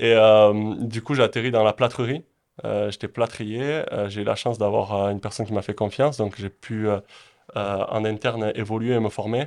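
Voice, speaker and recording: A man's unremarkable speaking voice, fairly low in pitch, with fairly even intonation at a moderate pace against a quiet background. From French Basque Country (Pyrénées-Atlantiques, southwest France). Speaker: real estate investor and entrepreneur. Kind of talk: interview.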